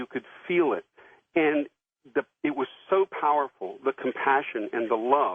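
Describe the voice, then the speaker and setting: Pitched fairly high, a man talks at a moderate pace. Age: 60s. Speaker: caller. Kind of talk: call-in question. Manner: halting.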